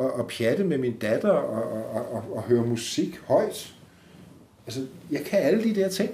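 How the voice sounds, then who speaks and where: A somewhat breathy man's voice with a dark, mellow tone, fairly high pitch and very wide pitch swings, at a moderate pace amid audible room echo. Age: 60s. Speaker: podcast guest with multiple sclerosis. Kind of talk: interview. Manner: halting.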